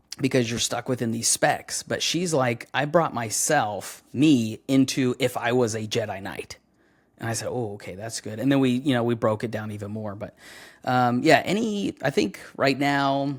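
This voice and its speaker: The recording is very clean, with a silent background. A man speaks at a medium pitch and a moderate pace with ordinary pitch variation. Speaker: voice actor. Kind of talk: casual chat.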